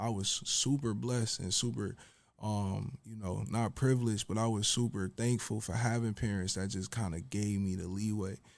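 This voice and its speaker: With an American accent, a man talks at a moderate pace in a fairly low pitch with ordinary pitch variation, an ordinary speaking voice on a very clean recording with a silent background. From Buffalo, New York, US. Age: 30s. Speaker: rapper and fashion designer. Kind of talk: casual interview.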